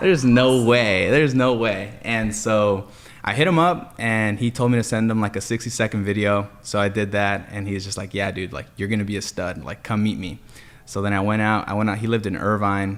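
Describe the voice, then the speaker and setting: A man with an unremarkable speaking voice and an American accent talks at a fairly quick pace, fairly low in pitch and with fairly even intonation. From Los Angeles area, California. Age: 20s. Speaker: solar sales manager. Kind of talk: casual podcast chat.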